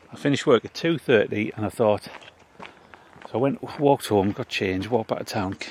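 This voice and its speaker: A man speaks fairly quickly at a medium pitch with ordinary pitch variation and long, frequent pauses, in a dry, close sound with no echo and noticeable background noise. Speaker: local history vlogger. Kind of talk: walking vlog narration. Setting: outdoors in a cemetery.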